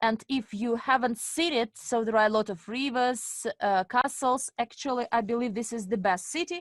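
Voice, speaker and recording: A woman speaks at a fairly slow pace in a high voice, with a dry, close sound free of echo and a quiet background. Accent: Russian. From Estonia (Narva), Russian-speaking family. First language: Russian. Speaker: webinar presenter and finance coach. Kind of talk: webinar presentation. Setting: online webinar with interpreters.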